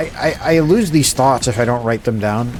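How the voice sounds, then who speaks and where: A man's medium-pitched voice with lively intonation, over noticeable background noise. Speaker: streamer.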